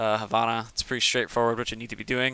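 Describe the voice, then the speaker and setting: A man's voice at medium pitch with a bright, sharp tone. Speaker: video game coach. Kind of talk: gameplay review commentary. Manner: casual, halting with fillers.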